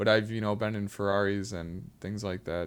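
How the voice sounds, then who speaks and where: An American accent from a man, in a very clean recording with a silent background. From Illinois. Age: young. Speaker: aspiring filmmaker and screenwriter. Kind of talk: casual chat. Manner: halting.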